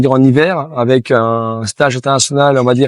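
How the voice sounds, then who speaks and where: This man's voice sits at a medium pitch with ordinary pitch variation. He keeps a moderate pace, and the sound is dry and close with no echo. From Haute-Savoie, France. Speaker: table tennis coach. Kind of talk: interview. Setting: on location in Chamonix. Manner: halting, many fillers.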